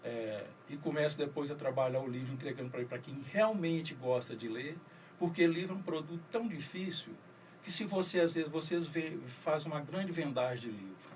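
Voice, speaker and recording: In a room with audible echo, a man with a fairly high pitch speaks at a moderate pace with lively intonation. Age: 60s. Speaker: writer and poet. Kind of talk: radio interview. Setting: radio studio.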